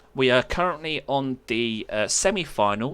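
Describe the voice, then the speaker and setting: In a very clean recording with a silent background, a man with a British accent speaks at a medium pitch in a bright, sharp tone with ordinary pitch variation. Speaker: esports caster. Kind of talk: live commentary. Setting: live stream. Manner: casual.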